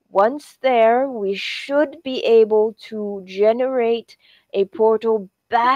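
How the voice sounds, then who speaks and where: A strained, put-on character voice at a very slow pace. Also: female-sounding voice. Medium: actual play. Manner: stiff, formal, slightly hesitant.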